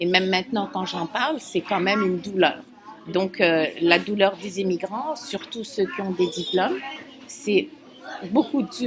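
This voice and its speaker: A woman at medium pitch, speaking at a fairly slow pace, with music in the background. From Algeria, Algiers. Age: 50s. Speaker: immigrant doctor, optometry assistant. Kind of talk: interview. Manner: halting.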